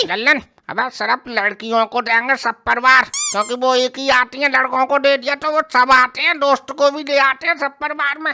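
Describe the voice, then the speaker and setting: In a cartoonish character voice, a woman talks at a fairly quick pace with hardly any pauses, high pitch and fairly even intonation, in a dry, close sound with no echo. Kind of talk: desi comic cartoon dialogue. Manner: gruff, scolding, sarcastic.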